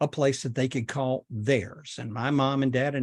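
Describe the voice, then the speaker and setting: On a very clean recording with a silent background, a man with a Southern US accent speaks in fairly even intonation. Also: dry, close sound with no echo. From US South, Chattanooga, Tennessee / North Georgia. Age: 70s. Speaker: podcaster. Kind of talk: personal storytelling monologue.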